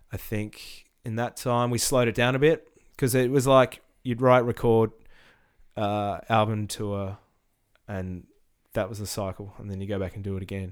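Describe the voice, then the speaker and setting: A man with an Australian accent and a fairly low pitch, at a moderate pace with fairly even intonation, long, frequent pauses and big swings in loudness. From Tasmania, Australia (Hobart). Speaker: rock musician. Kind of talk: casual chat.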